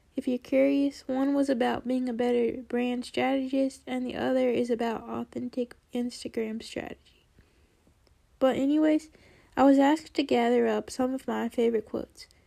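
A woman's nasal voice, fairly high-pitched, with a dark, mellow tone, vocal fry, fairly even intonation and a moderate pace

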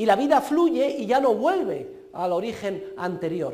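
A man's extremely high-pitched voice with very wide pitch swings. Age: 50s. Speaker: university professor. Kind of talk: lecture.

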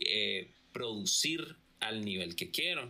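Amid audible room echo, a man speaks at a fairly low pitch with a bright, sharp tone. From Costa Rica and Nicaragua. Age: 30s. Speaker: music producer. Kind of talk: casual interview chat.

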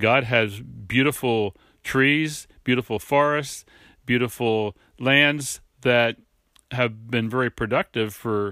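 In a very clean recording with a silent background, a man with an American accent speaks at a very slow pace with long, frequent pauses. His medium pitch has ordinary variation, his tone is bright and sharp, and the sound is dry and close with no echo. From southeastern Pennsylvania. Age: 60s. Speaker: podcast co-host, farmer. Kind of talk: devotional talk.

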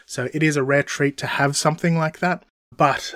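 A man with an Australian accent talks at a fairly high pitch, the sound dry and close with no echo. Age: 40s. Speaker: podcast host. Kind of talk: casual monologue.

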